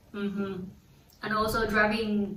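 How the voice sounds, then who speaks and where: In a room with audible echo, the speaker talks at a moderate pace with a Chinese accent and monotone, flat intonation. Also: woman. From China. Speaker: international student. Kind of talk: casual chat. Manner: halting, many fillers.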